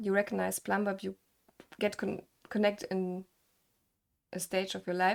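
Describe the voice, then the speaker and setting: A woman with a German accent and medium pitch talks at a moderate pace on a very clean recording with a silent background. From Germany. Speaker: gaming content creator and interviewer. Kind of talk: casual interview. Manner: halting.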